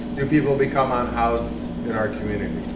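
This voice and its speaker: The speech comes at a fairly quick pace with fairly even intonation. Noticeable background noise and audible room echo are present. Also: man. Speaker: homeless advocate. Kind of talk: interactive talk. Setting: live audience, no microphone.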